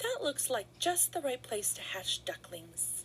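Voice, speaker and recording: A woman's put-on character voice at a fairly slow pace over clear background noise. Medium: read story.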